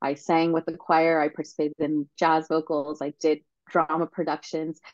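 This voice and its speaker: With an unremarkable speaking voice, a woman talks fairly slowly at a fairly low pitch. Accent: American. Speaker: podcast host, alumni council president. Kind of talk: interview.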